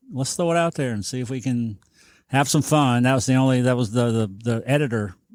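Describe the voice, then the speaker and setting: A man speaks with a Southern US accent at a fairly quick pace. His pitch varies in an ordinary way. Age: 60s. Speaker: business owner and former TV personality. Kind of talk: casual chat. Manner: halting, many fillers and repeats.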